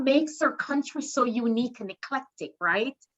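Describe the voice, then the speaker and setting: This speaker has a Jamaican accent. The pace is moderate. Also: woman. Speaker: professor and qualitative researcher. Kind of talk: panel discussion. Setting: video call.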